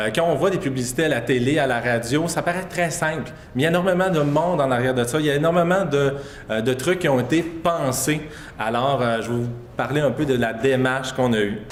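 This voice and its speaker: A man at a medium pitch talks at a fairly quick pace. Audible room echo and noticeable background noise are present. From Quebec, Saguenay-Lac-Saint-Jean. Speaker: public health communications advisor. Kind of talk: conference presentation. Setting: conference stage with audience. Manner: fast; hesitant, many fillers.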